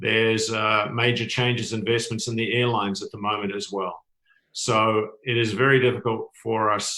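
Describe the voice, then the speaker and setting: With a New Zealand accent, a man talks at a fairly quick pace and a fairly low pitch. His tone is bright and sharp, his intonation monotone and flat. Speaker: tourism industry expert, panelist. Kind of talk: panel discussion. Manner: halting, many fillers.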